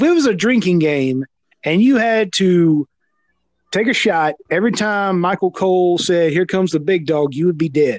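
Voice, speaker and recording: A high-pitched male voice at a moderate pace with lively intonation. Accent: Southern US. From US South. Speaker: wrestling podcaster. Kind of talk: casual chat. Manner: halting.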